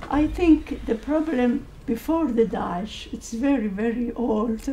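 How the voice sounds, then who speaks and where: Over noticeable background noise, a woman speaks at a fairly slow pace, fairly high in pitch with ordinary pitch variation. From Syria (Kurdish). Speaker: audience member, Kurdish organisation president. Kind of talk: Q&A comment at policy panel. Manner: halting.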